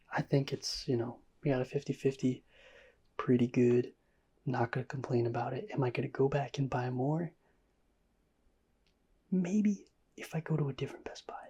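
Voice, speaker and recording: Soft-spoken and relaxed, the voice moves at a moderate pace with long, frequent pauses. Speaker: ASMR trading card pack-opening YouTuber. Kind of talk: ASMR pack-opening commentary. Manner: soft-spoken, relaxed.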